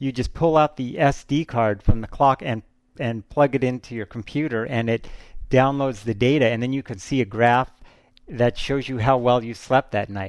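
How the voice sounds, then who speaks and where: At a moderate pace, the speaker uses a normal speaking voice with ordinary pitch variation against a quiet background. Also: man. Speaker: culture critic. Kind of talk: casual recommendation chat.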